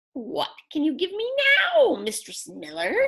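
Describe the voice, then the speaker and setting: A woman's squeaky, high-pitched put-on character voice at a moderate pace. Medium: read story. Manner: sly, bargaining.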